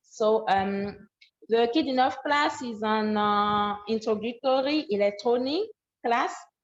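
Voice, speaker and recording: Speaking at a fairly slow pace, a woman with a French accent uses a fairly high pitch and ordinary pitch variation. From Benin. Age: 20s. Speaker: student program founder. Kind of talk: online presentation. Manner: halting.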